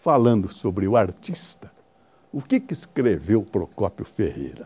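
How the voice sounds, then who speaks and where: A man with a dark, mellow tone and vocal fry speaks at a fairly slow pace. His pitch swings very widely. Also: medium pitch for a man. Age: 80s+. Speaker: veteran radio sports broadcaster. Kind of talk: interview.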